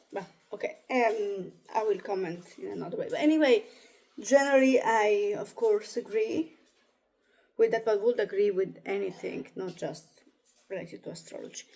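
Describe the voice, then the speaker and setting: Speaking with an Italian accent, a woman uses a fairly high pitch and a dark, mellow tone, with lively intonation, big swings in loudness, and long, frequent pauses. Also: moderate pace. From Italy. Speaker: astrologer. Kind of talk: reading aloud with commentary. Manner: halting.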